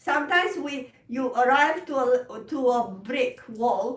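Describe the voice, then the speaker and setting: A woman with a Romanian accent speaks at a high pitch over noticeable background noise. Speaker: piano teacher. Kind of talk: live stream chat. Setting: live stream. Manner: slow; halting.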